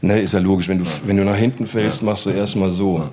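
A man speaks with a fairly low pitch and fairly even intonation. The recording has noticeable background noise and audible room echo. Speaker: graffiti artist. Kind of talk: casual chat. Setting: studio.

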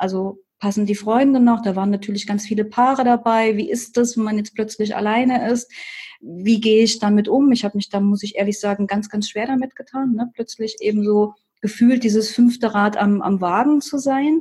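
At a moderate pace, a woman speaks in a fairly high, somewhat breathy voice with a dark, mellow tone and fairly even intonation. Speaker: life coach. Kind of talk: interview.

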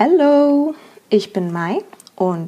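Her tone is dark and mellow, yet her pitch sits high. This woman's voice moves through very wide pitch swings. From Germany. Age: 20s. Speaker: podcast host. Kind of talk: podcast intro monologue.

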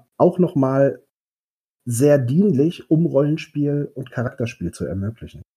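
Fairly high in pitch and somewhat breathy, a man speaks at a fairly slow pace with a dark, mellow tone and lively intonation. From Westphalia, Germany. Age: 30s. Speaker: game master, social worker. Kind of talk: casual interview. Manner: hesitant, many fillers.

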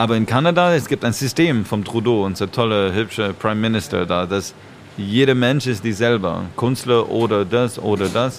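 Ordinary pitch variation and a moderate pace in a man's voice of medium pitch. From Canada, Montreal. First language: English or French (speaking German). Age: 40s. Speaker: dancer and choreographer. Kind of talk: casual chat.

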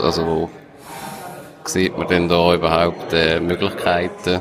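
A man talks here. Noticeable background noise accompanies him. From Switzerland. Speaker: radio host. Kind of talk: scripted intro.

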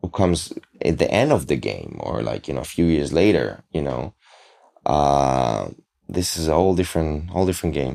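A man's very deep, low-pitched voice with a non-native accent, vocal fry and long, frequent pauses. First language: not English. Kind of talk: casual interview. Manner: halting.

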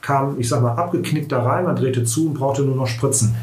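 A man's fairly high-pitched voice with audible room echo and noticeable background noise. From Mülheim an der Ruhr, Germany. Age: 40s. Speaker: teacher and local education politician. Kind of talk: casual political chat. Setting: room with masks and ventilation on.

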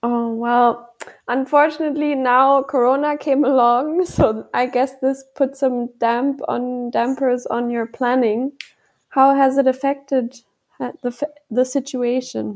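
A woman's high-pitched voice with a German accent, very slow and monotone, its intonation flat. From Germany. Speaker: podcast host. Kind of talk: interview.

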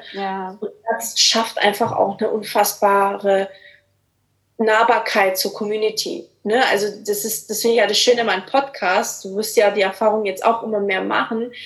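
A woman with a plain, everyday voice speaks at a moderate pace. Her pitch is fairly high and her intonation fairly even. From Swabia, Germany. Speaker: life coach. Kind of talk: casual interview.

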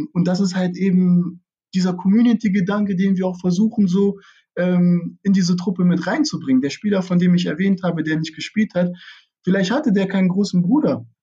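The man's voice is high-pitched with a dark, mellow tone. He speaks at a fairly quick pace with ordinary pitch variation. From Lower Saxony, Germany (Braunschweig). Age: 20s. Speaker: amateur football club director. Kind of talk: interview. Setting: video call from home.

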